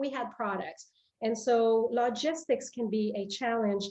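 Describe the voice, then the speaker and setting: A woman with a French Canadian accent speaks at a moderate pace, her fairly high voice carrying a dark, mellow tone and ordinary pitch variation. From Quebec, Canada. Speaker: company president. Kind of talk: interview. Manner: halting, many fillers and repetitions.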